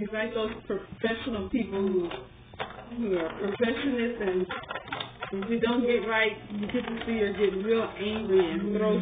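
A woman speaks at a fairly slow pace with fairly even intonation. Noticeable background noise runs underneath. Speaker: toy reviewer. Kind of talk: casual toy review chat. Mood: amused, smiling. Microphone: webcam.

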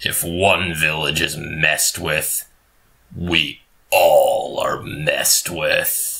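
A raspy-voiced man speaks at a very slow pace. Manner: firm, commanding.

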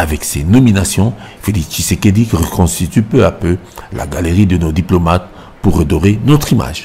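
The man's voice is very deep and low, and he keeps a moderate pace. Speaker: news reporter voicing report. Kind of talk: news reading, scripted report voiceover. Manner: formal, even, narrated.

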